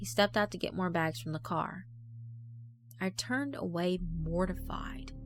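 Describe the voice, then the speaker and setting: A woman speaks at a very deep, low pitch with very wide pitch swings and music in the background. Her pace is moderate, with long, frequent pauses. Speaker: horror story narrator. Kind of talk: horror fiction narration.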